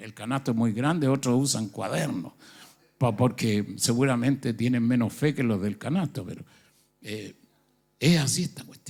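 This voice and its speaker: This man has a Chilean accent and talks at a fairly slow pace. The recording is very clean, with a silent background. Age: 70s. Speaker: pastor. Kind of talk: sermon.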